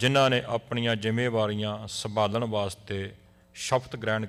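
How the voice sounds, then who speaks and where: His medium-pitched voice stays monotone and flat throughout. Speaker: Sikh clergy member. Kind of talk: prayer (ardas).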